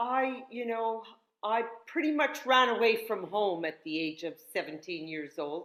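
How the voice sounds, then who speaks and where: A woman with a Canadian accent uses a normal speaking voice at a fairly slow pace, with lively intonation. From northern Canada. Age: 60s. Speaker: yoga instructor and health teacher. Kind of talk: casual interview chat.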